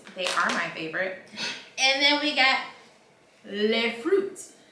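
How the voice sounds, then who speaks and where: A woman talks in an animated tone, her pitch swinging very widely. Noticeable background noise and audible room echo surround her voice. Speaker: lifestyle vlogger. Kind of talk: casual chat. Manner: loud.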